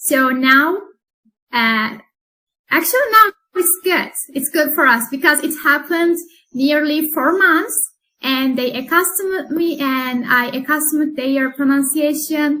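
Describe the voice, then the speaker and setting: A woman speaks at a fairly slow pace in a high, bright and sharp voice that is raised and projected, with a Turkish accent and ordinary pitch variation. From Turkey. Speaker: English teacher. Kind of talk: interview.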